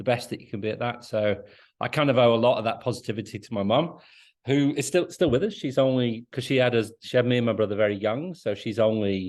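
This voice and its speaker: Very fast speech comes from a man with a medium pitch and ordinary pitch variation. The background is quiet. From northern England (Liverpool, Chorley, Lancashire). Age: 50s. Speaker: CEO of a mental health organisation. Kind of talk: podcast interview. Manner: enthusiastic, upbeat; talkative, hesitant repetitions.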